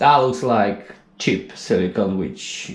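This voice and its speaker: A non-native accent with ordinary pitch variation and audible room echo. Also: man. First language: not English. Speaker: DIY tradesman. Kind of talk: DIY tutorial. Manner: casual, halting.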